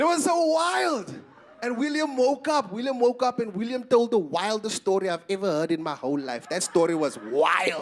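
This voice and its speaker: Over noticeable background noise, a high-pitched man talks in an animated tone with very wide pitch swings. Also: moderate pace. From South Africa, Eastern Cape. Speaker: stand-up comedian. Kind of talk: stand-up. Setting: stage with audience.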